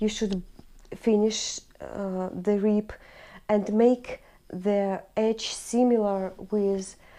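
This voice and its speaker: A woman speaks very slowly in a Russian accent, her medium-pitched voice dark and mellow and her intonation flat and monotone. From Russia, Urals. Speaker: knitting vlogger. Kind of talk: casual tutorial-style podcast. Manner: halting; partly read from prepared notes.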